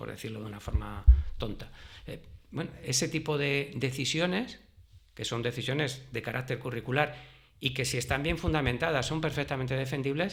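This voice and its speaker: A man speaks with vocal fry. His pitch varies in an ordinary way. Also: medium pitch for a man, moderate pace. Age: 60s. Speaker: retired history teacher. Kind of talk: interview.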